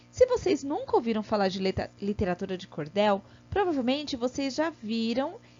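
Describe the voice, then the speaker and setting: Over music in the background, a woman with a high voice speaks at a moderate pace with very wide pitch swings. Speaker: primary school teacher. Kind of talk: online lesson for children.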